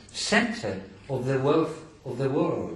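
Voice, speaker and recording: A man in a Greek accent at a very slow pace, with noticeable background noise and audible room echo. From Greece. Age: 70s. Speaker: scholar lecturer. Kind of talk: lecture.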